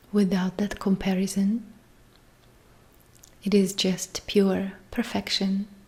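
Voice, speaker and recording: Somewhat breathy and monotone, a woman speaks at medium pitch and a very slow pace, with long, frequent pauses. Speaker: meditation guide. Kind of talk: guided sleep meditation.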